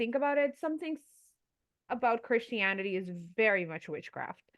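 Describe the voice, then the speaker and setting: A woman speaks in a Curaçao accent. Her pace is fairly quick. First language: Papiamento. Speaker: podcast co-host. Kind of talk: casual podcast conversation.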